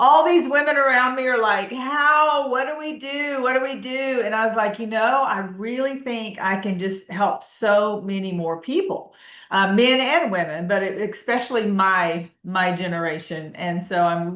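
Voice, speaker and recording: In an unremarkable speaking voice, a woman with a fairly high pitch and lively intonation talks at a moderate pace with hardly any pauses. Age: 60s. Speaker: health coach. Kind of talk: interview.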